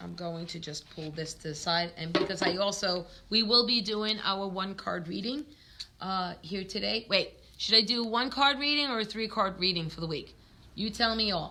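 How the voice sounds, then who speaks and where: A woman with a New York accent at medium pitch and moderate pace, ordinary pitch variation, big swings in loudness, and noticeable background noise. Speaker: tarot reader. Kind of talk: live stream chat. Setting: live stream from a store. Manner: casual, filler-heavy.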